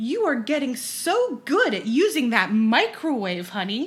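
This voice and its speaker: A woman puts on a character voice, talking high in pitch at a moderate pace. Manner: condescending, patronizing.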